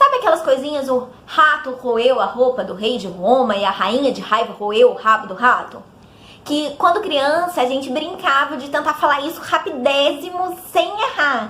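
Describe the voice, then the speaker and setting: A woman's raised, projected voice, high-pitched and animated, with lively intonation, big swings in loudness, a moderate pace and noticeable background noise. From interior of São Paulo state, Brazil. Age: 20s. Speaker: vlogger, dubbing student. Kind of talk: casual vlog.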